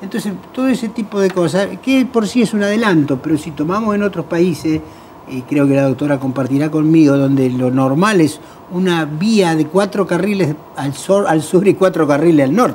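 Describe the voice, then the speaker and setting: The speech moves at a moderate pace, and noticeable background noise can be heard throughout. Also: man, high pitch for a man. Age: 60s. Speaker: road safety NGO president. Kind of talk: TV talk show panel discussion.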